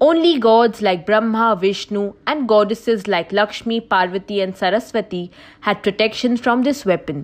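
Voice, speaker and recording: Against a quiet background, a woman in a plain, everyday voice speaks at a moderate pace with a fairly high pitch and ordinary pitch variation. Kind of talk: scripted mythology documentary narration. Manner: formal, even-paced explanatory delivery.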